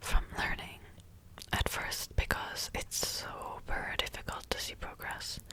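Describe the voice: A woman whispers at a fairly slow pace.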